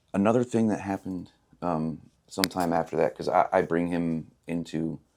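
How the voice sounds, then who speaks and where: Quiet and very deep, a man's low voice moves at a moderate pace. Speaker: person in addiction recovery. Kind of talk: personal testimony interview.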